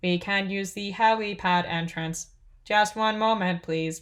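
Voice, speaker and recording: In a put-on character voice, a female-sounding speaker talks at a fairly slow pace with a medium pitch. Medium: read story. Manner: formal, oddly cheerful.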